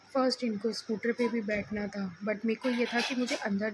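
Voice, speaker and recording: Woman at a moderate pace with fairly even intonation over noticeable background noise. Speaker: vlogger, mother. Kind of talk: vlog narration. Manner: casual.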